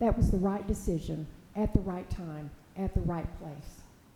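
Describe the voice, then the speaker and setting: This woman's pitch moves in an ordinary way. Her speed is moderate. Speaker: public commenter. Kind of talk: public comment at city meeting. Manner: formal.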